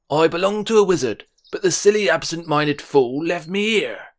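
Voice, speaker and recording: A man puts on a wheezy character voice pitched high. He speaks at a moderate pace. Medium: read story. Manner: brisk, bossy.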